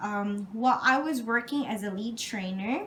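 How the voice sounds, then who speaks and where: A woman's fairly high voice with a non-native accent, ordinary pitch variation and a fairly slow pace. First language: not English. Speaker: job interview candidate. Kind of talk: job interview answers. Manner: halting; formal.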